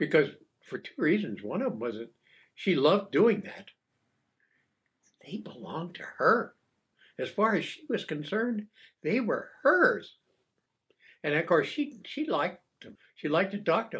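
Speaking with an American accent, a man with a high pitch uses very wide pitch swings, big swings in loudness and long, frequent pauses. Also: moderate pace. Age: 90s. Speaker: retired coast guard officer. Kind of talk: casual chat. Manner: halting.

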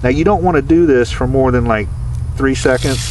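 The intonation stays fairly even against clear background noise. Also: man.

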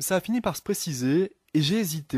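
A high-pitched man speaks with lively intonation. The background is quiet, and the sound is dry with no echo. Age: 20s. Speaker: novelist; guest. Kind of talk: radio interview. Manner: hesitant, many fillers. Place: studio.

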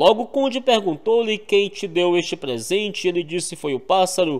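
A man with a high-pitched voice and lively intonation. The background is quiet. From Maranhão, Brazil. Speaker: YouTube narrator of cordel poetry. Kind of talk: reading aloud of rhymed cordel verse. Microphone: studio mic.

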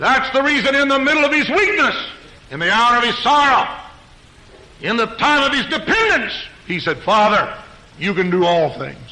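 Raised and projected, a man's voice sits at an extremely high pitch with very wide pitch swings and long, frequent pauses, over noticeable background noise. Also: moderate pace. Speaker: preacher. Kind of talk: church sermon preached to a congregation. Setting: church pulpit recorded live.

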